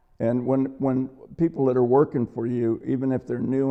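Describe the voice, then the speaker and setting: A man's medium-pitched voice in an American accent, at a moderate pace, with monotone, flat intonation. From Hollywood, California, US. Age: 80s+. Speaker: cinematographer. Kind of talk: interview. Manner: halting.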